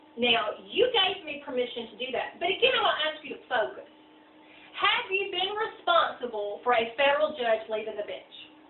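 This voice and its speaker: A woman speaks loudly at a moderate pace, her high voice swinging very widely in pitch. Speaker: lawyer. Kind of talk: heated argument. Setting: meeting at a client's home.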